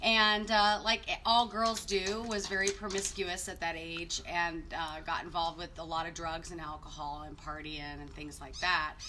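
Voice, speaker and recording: A woman with a Southwestern US accent speaks at a moderate pace in a bright, sharp tone. Her intonation is lively, her loudness swings widely, and the room echo is audible. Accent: US Southwest American. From Arizona, North Phoenix. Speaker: marriage ministry co-host. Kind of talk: personal testimony. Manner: casual, conversational.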